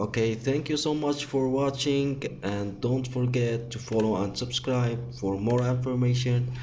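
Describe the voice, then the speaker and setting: Audible room echo surrounds the voice. A man speaks at a medium pitch with a dark, mellow tone. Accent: non-native. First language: not English. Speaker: tech tutorial youtuber. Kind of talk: tutorial. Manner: halting.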